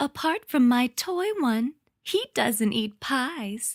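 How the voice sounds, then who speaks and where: Using a put-on character voice, a woman speaks high and very slowly. The recording is very clean, with a silent background. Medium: read story.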